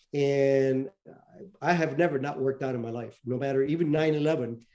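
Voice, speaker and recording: With a Spanish accent, a man speaks in a dark, mellow tone at a medium pitch. His intonation is fairly even and his pace moderate. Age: 70s. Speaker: retired intelligence officer and author. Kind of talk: interview. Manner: halting, many fillers.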